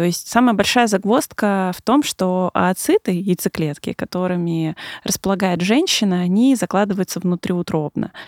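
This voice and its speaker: On a very clean recording with a silent background, a woman with a plain, everyday voice speaks at a moderate pace with ordinary pitch variation. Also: medium pitch for a woman, dry, close sound with no echo. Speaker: gynecologist. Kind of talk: expert interview.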